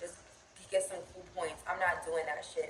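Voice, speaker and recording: A woman with an American accent at medium pitch, over noticeable background noise. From Pennsylvania, Philadelphia area. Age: 20s. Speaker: lifestyle vlogger. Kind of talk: casual chat. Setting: at home.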